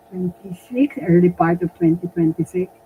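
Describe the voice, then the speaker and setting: A woman speaks in a somewhat breathy voice. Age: 80s+. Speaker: retired doctor and community leader. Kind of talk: interview. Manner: halting.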